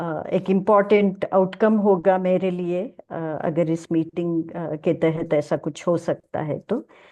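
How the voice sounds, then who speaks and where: Hardly pausing, a woman speaks in a dark, mellow tone with fairly even intonation. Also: quiet background. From South India. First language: South Indian language, not Hindi (speaking Hindi). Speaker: social activist and speaker. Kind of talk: lecture. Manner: halting with many fillers.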